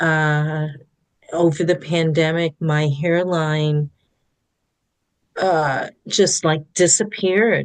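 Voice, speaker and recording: With a very deep, low pitch and fairly even intonation, a woman speaks at a very slow pace, with long, frequent pauses. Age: 60s. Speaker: therapist. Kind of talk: podcast interview.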